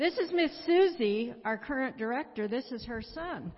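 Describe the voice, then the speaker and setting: This is a woman's voice. It has a somewhat breathy quality. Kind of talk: testimony.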